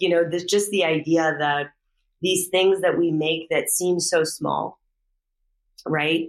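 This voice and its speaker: In an American accent, a woman speaks at a very slow pace with a fairly low pitch and monotone, flat intonation, pausing long and often. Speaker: podcast host, dramaturg. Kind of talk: interview conversation.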